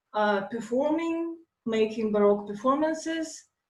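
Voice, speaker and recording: A woman speaks at a fairly slow pace, pitched fairly high. Her intonation is lively and her voice somewhat breathy. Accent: Russian. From Russia, Moscow. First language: Russian. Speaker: lecturer, classical philologist and dancer. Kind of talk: lecture. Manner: halting, many fillers.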